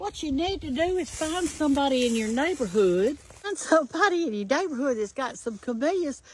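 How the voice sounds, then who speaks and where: In a Southern US accent, a woman talks at a moderate pace. Her high voice swings very widely in pitch. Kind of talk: casual talk to camera.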